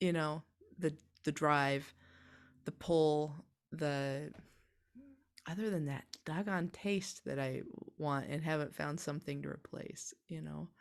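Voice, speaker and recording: A woman speaks very slowly in a very deep, low pitch. Her intonation is fairly even, with long, frequent pauses. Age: 40s. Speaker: healer. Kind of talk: casual chat. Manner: halting.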